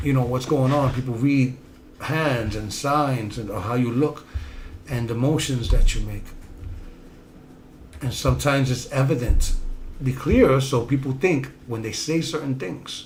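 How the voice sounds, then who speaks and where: With a Bronx accent, a man speaks at medium pitch and a fairly slow pace, amid noticeable background noise and audible room echo. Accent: Bronx New York way of speaking. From New York City, South Bronx. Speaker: self-help podcast host. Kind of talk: motivational talk.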